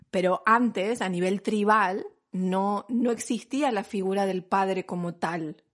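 Speaking at a very slow pace in an Argentine accent, a woman with a medium pitch shows ordinary pitch variation against a quiet background. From Argentina. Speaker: podcast host, mother and pregnancy professional. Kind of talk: casual chat.

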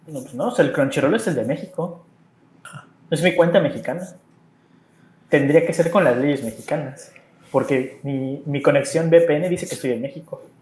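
A man at a fairly high pitch, somewhat breathy, at a moderate pace with ordinary pitch variation, big swings in loudness and long, frequent pauses. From Mexico. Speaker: Mexican expat living in Japan. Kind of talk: casual chat.

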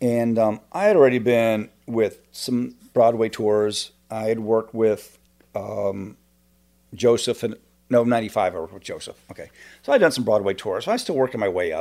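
A man speaks at a moderate pace in a dark, mellow tone, with ordinary pitch variation and big swings in loudness, on a very clean recording with a silent background. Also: medium pitch for a man. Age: 50s. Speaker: stage manager and fight choreographer. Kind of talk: casual chat. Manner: hesitant, many fillers.

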